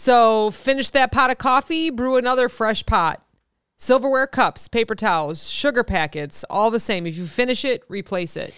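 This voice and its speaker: Lively intonation and fairly high pitch from a woman with a Midwestern accent, in a very clean recording with a silent background and a dry, close sound with no echo. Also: moderate pace. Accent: Midwest American. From US Midwest. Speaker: podcast host. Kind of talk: casual chat.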